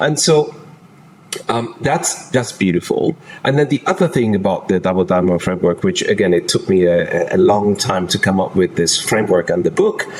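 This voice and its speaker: With a non-native accent, a man speaks at a moderate pace in a medium-pitched voice, very even in loudness but with very wide pitch swings, over noticeable background noise. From Germany. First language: not English. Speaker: executive transition coach. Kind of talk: podcast interview.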